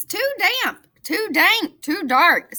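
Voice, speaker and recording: Putting on a character voice, a woman squeaks at an extremely high pitch with very wide pitch swings. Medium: read story.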